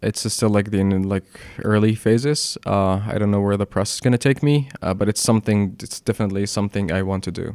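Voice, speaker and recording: A man's fairly low voice with an Arabic accent, very fast and fairly even in intonation. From Egypt, Alexandria. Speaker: documentary photographer. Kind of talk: interview.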